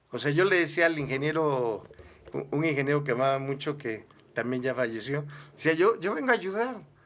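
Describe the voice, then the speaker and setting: With lively intonation and a fairly high pitch, a man speaks at a fairly quick pace in an ordinary speaking voice. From southern Mexico, Villahermosa, Tabasco. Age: 60s. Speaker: pastor and musician. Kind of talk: interview.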